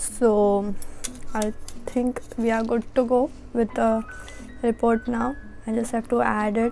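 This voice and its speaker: A woman's fairly high voice, monotone and flat, at a very slow pace with long, frequent pauses and music in the background. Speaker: college student. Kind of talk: casual vlog talk to camera.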